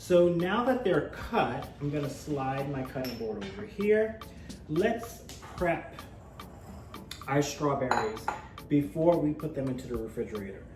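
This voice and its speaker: With music in the background and audible room echo, a man with an American accent speaks fairly slowly at a fairly high pitch, using very wide pitch swings and long, frequent pauses. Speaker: cooking show host. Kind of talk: cooking tutorial. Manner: casual, conversational.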